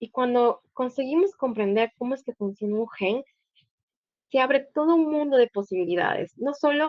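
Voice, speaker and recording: Lively intonation marks speech delivered at a moderate speed. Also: woman, high pitch for a woman. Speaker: guest lecturer, doctoral student. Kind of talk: lecture.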